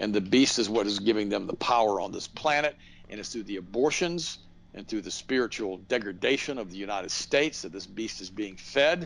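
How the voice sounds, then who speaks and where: A normal speaking voice belongs to this man, fairly low in pitch. He talks at a fairly quick pace with big swings in loudness. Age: 60s. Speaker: radio host and health products seller. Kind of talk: interview.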